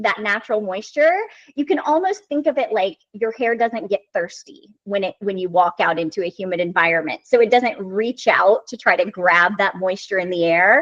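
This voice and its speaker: With a slight Southern US accent, a woman talks at a moderate pace with lively intonation, the sound dry and close with no echo. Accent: slight Southern American. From US South. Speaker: hair stylist and brand educator. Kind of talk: interview.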